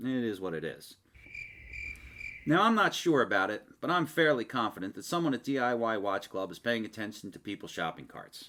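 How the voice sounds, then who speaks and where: In a Philadelphia accent, a man speaks at a moderate pace and medium pitch with a bright, sharp tone, very wide pitch swings, and big swings in loudness, on a very clean recording with a silent background. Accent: Philadelphia-area. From Delaware County, Pennsylvania. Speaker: hobbyist video maker. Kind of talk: casual narrated product review. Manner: joking, conversational.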